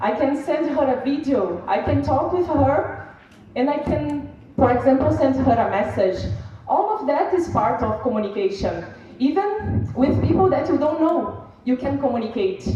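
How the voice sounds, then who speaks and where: A woman with a Brazilian Portuguese accent speaks at a high pitch and a moderate pace, her pitch swinging very widely. Noticeable background noise and audible room echo fill the recording. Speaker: seminar speaker. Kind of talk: conference speech. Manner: halting.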